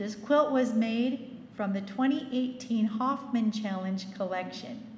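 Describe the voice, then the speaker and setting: Fairly slow speech with audible room echo and noticeable background noise. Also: woman. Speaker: awards emcee. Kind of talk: awards presentation.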